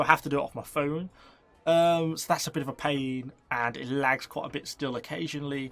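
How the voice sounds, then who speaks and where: A man speaks in a British accent with a fairly high pitch and fairly even intonation. The recording is very clean, with a silent background. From UK. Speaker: gaming YouTuber. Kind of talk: casual Q&A to camera. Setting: home shed.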